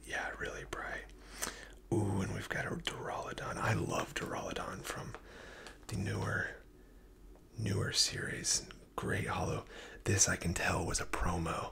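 Whispering and soft-spoken at a fairly slow pace, the speaker leaves long, frequent pauses over noticeable background noise. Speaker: card collector reviewer. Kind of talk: casual commentary. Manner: close, soft ASMR whisper. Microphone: phone near.

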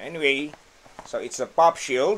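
A man speaks very slowly, with light noise in the background. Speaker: product reviewer. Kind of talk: casual unboxing review. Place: home room. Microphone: phone near.

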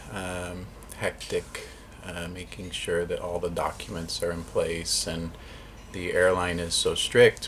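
Against light background noise, a man speaks at a very slow pace. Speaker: travel vlogger. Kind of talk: casual vlog chat. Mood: calm, reflective. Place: home room. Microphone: phone near.

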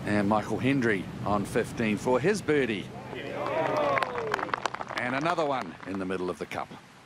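A man's relaxed, medium-pitched voice with lively intonation, at a fairly slow pace amid noticeable background noise. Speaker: golf commentator. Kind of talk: live golf commentary over highlights. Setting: voiceover on highlight reel. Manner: relaxed, conversational, appreciative.

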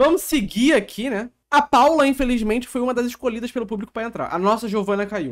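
Against a quiet background, a man with a Brazilian accent talks at a moderate pace, his pitch extremely high with ordinary variation. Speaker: streamer reacting to reality show. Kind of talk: casual live-stream reaction chat. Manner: joking, irreverent. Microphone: headset.

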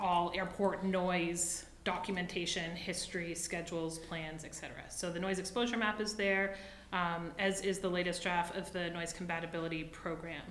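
Amid audible room echo, a woman with a fairly low pitch speaks at a moderate pace in a monotone, flat intonation. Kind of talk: meeting report. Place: meeting room. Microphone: podium.

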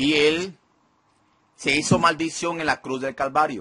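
The voice has a bright, sharp tone with a slightly husky edge, moving at a fairly slow pace with fairly even intonation. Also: man, fairly high pitch for a man.

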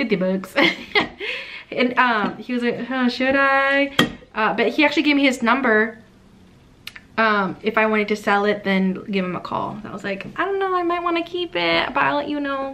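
A woman speaks at a moderate pace and a high pitch, with very wide pitch swings. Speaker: haul vlogger. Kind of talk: casual vlog chat. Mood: cheerful, excited. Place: home room. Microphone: phone near.

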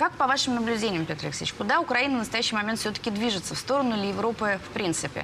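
A woman at a very fast pace over noticeable background noise. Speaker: TV news presenter. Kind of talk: news interview. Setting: studio. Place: studio. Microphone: lapel.

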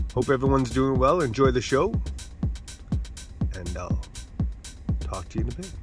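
A man talks at a fairly quick pace, his voice dry with no echo, while clear music plays in the background. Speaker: sunrise vlogger. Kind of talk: casual vlog chat. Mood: friendly, upbeat. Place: car.

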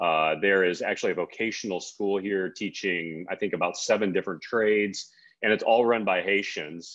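In a normal speaking voice, a man talks at a moderate pace with a fairly low pitch and fairly even intonation. The background is quiet. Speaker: author and men's ministry speaker. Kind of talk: interview with biblical teaching. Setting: video call from outdoors in Haiti. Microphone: connection dropped.

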